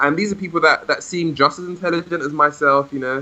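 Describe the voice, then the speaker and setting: A man speaks with a London accent. His voice sits fairly high, with ordinary pitch variation. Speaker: language learner and podcast host. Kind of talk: interview. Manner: hesitant, many repetitions.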